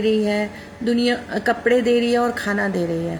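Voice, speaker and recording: Here a woman speaks at a fairly high pitch. Noticeable background noise sits behind her. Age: 60s. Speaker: amateur singer and social media poster. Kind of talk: personal appeal to followers. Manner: halting, many fillers.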